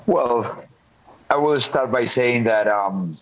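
Speaking very slowly with a Spanish accent, a man shows ordinary pitch variation over noticeable background noise. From Colombia. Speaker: football coach. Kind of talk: interview. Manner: halting.

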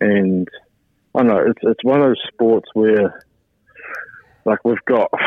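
A man with a New Zealand accent speaks at a fairly low pitch. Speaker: ice hockey player. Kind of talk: radio interview. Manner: hesitant, many fillers.

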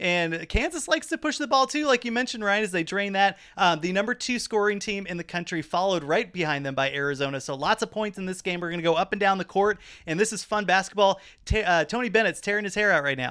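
Speech comes at a very fast pace with hardly any pauses. The recording is very clean, with a silent background. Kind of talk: live play-by-play commentary over a replayed game, with laughing slips and corrections. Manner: animated, quick-fire, stumbling over names then laughing and correcting himself.

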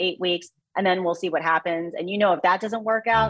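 Here a woman talks fairly quickly with an American accent. Hers is an ordinary speaking voice, medium in pitch with ordinary pitch variation. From US Midwest (Mexico, Missouri). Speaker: sports broadcaster and former tennis player. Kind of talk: interview.

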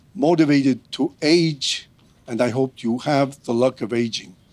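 With a Spanish accent, a man speaks at a fairly slow pace in a fairly high pitch with ordinary pitch variation. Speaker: diplomat, former foreign minister. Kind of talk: prepared speech.

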